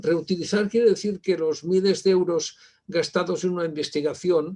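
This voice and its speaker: Fairly even intonation carries a man's high-pitched voice at a moderate pace. His tone is dark and mellow. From Spain. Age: 60s. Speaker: university library director, keynote speaker. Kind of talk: conference keynote lecture. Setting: virtual conference. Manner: halting, many fillers.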